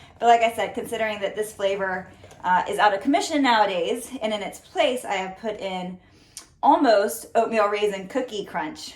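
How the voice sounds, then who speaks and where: A woman talks in a Southern US accent at a fairly high pitch. Her pace is moderate and her pitch variation ordinary. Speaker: fitness trainer. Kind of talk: cooking tutorial. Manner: casual, chatty.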